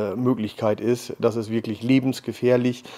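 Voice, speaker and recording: A man talks at a fairly slow pace in a dark, mellow tone. His intonation stays fairly even. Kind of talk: interview answer. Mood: serious, cautionary. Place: meeting room.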